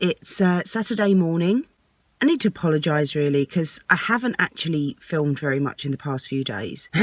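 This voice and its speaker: Recorded very cleanly against a silent background, with a dry, close sound and no echo, a woman with an English accent speaks at a moderate pace using very wide pitch swings. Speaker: vlogger and singer. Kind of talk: vlog. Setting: parked outside a house, early morning.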